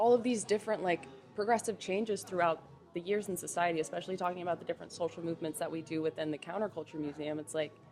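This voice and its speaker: Music plays in the background as a woman talks very fast in a fairly low voice with ordinary pitch variation. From US South, Atlanta. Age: 20s. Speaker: museum worker. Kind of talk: casual chat. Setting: storefront window pop-up. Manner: animated.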